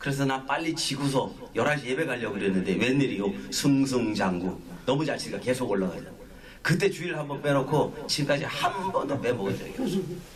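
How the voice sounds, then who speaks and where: A man with a fairly high voice and lively intonation is heard through noticeable background noise and audible room echo. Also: fairly quick pace. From Gangwon and Chungcheong, South Korea. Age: 60s. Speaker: pastor. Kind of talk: sermon. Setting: small worship gathering in an office.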